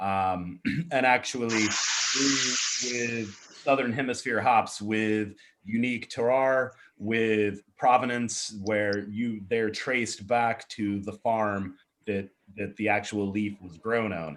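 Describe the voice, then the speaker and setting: A very slow pace from a man with a fairly low pitch and fairly even intonation. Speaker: brewery supplier, former brewer. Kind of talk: video call chat.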